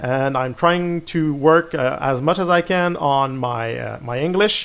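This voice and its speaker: This speaker has a French accent. The pace is fairly slow, with ordinary pitch variation. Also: man. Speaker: gaming video creator. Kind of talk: gameplay commentary. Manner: halting, many repeated words and fillers.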